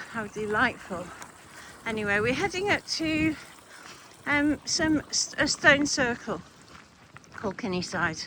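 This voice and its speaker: With noticeable background noise behind her, a woman talks at a fairly slow pace, her pitch swinging very widely between long, frequent pauses. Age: 60s. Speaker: hiking vlogger. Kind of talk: casual vlog narration while walking. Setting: outdoors.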